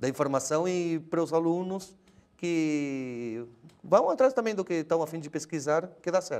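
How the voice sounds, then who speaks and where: High-pitched speech from a man, moderate in pace and ordinary in pitch variation. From Argentina. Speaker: linguistics professor. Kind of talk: interview answer.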